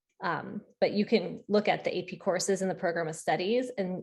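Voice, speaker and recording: Against a quiet background, a woman with an ordinary speaking voice talks at a fairly quick pace and a fairly low pitch. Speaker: school counselor. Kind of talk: Q&A at virtual parent meeting. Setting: video call.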